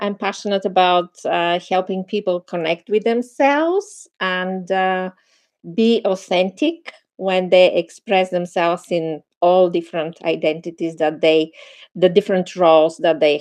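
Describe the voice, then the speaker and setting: At a fairly slow pace, a woman with a Bulgarian accent speaks at medium pitch with ordinary pitch variation. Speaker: meditation teacher and film producer. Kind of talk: casual chat.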